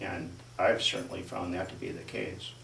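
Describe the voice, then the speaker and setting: Audible room echo on a man's speech. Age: 60s. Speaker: interviewee, resident affected by turbines. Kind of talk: interview. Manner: halting.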